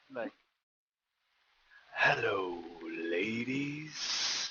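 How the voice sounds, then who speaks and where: A man puts on a character voice whose pitch sits in the medium range. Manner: smooth, flirtatious greeting.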